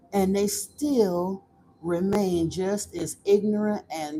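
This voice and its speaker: A woman speaks at a very slow pace in a Southern US accent. Her voice has a medium pitch and a dark, mellow tone. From Florida, US. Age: 50s. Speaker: livestream host, spiritual channel. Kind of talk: casual live-stream chat. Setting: live stream. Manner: animated.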